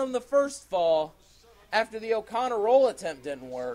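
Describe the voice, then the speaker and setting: In an animated, dramatic tone, a man talks at a moderate pace with lively intonation. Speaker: wrestling commentator. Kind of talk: live wrestling commentary. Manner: animated, exclaiming with dramatic emphasis.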